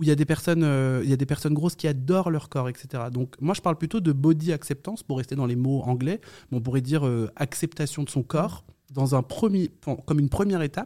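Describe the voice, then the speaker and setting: Recorded very cleanly against a silent background, a man speaks at a fairly quick pace in a fairly high, dark and mellow voice with ordinary pitch variation. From France, Yvelines and countryside. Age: young. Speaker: knitting influencer and TV presenter. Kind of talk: interview. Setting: hotel. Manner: hesitant, many fillers.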